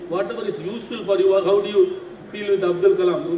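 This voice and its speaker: A man speaks at a fairly quick pace. Noticeable background noise and audible room echo fill the recording. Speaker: scientist giving guest lecture. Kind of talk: lecture to students. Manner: animated, questioning the audience.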